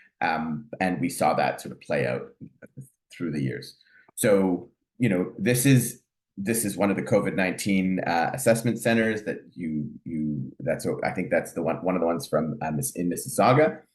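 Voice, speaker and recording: Vocal fry runs through this man's fairly low voice. His pitch swings very widely. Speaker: family physician and professor. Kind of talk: lecture. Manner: fast; hesitant, many fillers.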